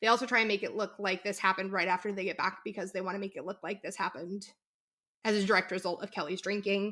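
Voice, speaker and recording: Shouting at a very fast pace, the voice has a bright, sharp tone and monotone, flat intonation. The recording is very clean with a silent background. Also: woman, medium pitch for a woman. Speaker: podcast co-host. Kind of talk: casual chat. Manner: can sound like yelling.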